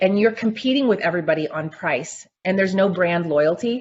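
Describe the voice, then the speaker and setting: Energetic in tone, a woman speaks fairly quickly at a medium pitch, with ordinary pitch variation. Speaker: packaging and branding expert. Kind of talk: webinar Q&A panel. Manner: loud.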